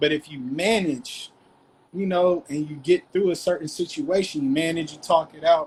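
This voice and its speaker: A man with a high pitch speaks at a moderate pace with fairly even intonation. His loudness swings widely. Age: 30s. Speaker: discussion participant. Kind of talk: group discussion.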